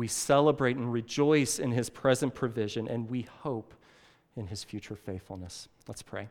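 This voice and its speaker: This man has an unremarkable speaking voice at medium pitch, moving at a moderate pace with ordinary pitch variation and big swings in loudness, in a very clean recording with a silent background. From Illinois (southern, near St. Louis). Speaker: pastor. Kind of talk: sermon.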